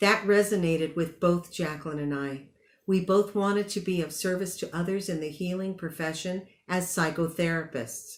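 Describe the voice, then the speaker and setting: A woman with an unremarkable speaking voice, fairly low in pitch, at a moderate pace with fairly even intonation, in a very clean recording with a silent background. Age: 60s. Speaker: commencement speaker, graduate psychotherapist. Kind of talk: commencement speech. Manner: formal.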